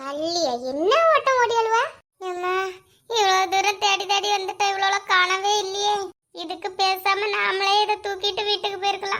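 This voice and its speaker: A woman puts on a cartoonish character voice at an extremely high pitch, speaking at a fairly slow pace. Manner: loud, dramatic complaining.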